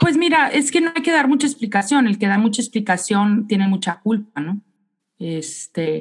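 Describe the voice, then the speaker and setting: In a northern Mexican accent, a woman speaks at a moderate pace and medium pitch, sounding somewhat breathy. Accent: northern Mexican Spanish (Sonora). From Mexico, Sonora. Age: 40s. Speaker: chef and restaurant owner. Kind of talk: interview. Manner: animated.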